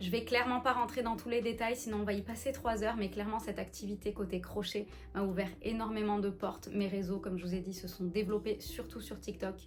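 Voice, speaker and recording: A woman at a fairly quick pace with fairly even intonation, amid noticeable background noise. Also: medium pitch for a woman, hardly any pauses. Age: 30s. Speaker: lifestyle vlogger. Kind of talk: casual vlog talk to camera. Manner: chatty.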